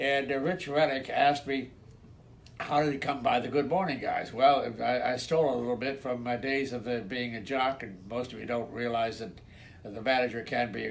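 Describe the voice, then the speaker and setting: The man's intonation stays fairly even. His voice carries an audible room echo. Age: 90s. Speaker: retired radio station manager. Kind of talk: reminiscing recorded message. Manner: halting, many repetitions and fillers.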